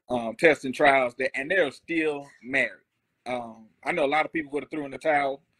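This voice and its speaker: Fairly even intonation at a moderate pace, with a dry, close sound free of echo and a bright, sharp tone. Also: man, fairly high pitch for a man. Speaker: married guest. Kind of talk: casual interview. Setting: live video stream. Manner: halting, many fillers.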